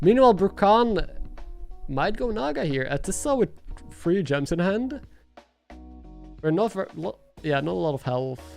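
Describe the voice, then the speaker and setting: Music plays in the background while a man speaks. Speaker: streamer and commentator. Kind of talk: live stream commentary.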